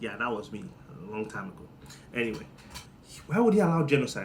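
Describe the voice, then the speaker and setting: A man speaks in an animated tone with a Nigerian accent. His voice is somewhat breathy, and the room echo is audible. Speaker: comedian. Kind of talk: comedic monologue.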